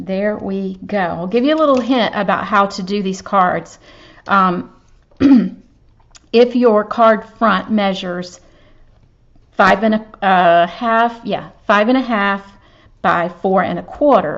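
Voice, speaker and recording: A woman with a Southern US accent speaks at a very slow pace with long, frequent pauses. Her pitch is medium and its variation ordinary. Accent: Southern US (Georgia). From US South, Georgia. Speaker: papercraft demonstrator. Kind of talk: craft tutorial. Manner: casual, chatty.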